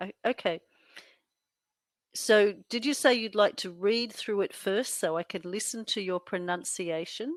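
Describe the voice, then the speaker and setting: A woman with an Australian accent, medium pitch, ordinary pitch variation and a fairly slow pace. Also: dry, close sound with no echo. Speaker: English tutor. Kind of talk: tutoring session. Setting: video call. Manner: hesitant.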